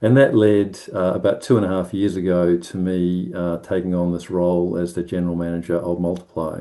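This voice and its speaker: Very deep and low, a man's dark, mellow voice runs at a fairly quick pace in a monotone, flat intonation with hardly any pauses. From New Zealand, South Island (Timaru). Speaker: ministry organisation manager. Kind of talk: presentation at online prayer meeting. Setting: online video call. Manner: hesitant, many fillers.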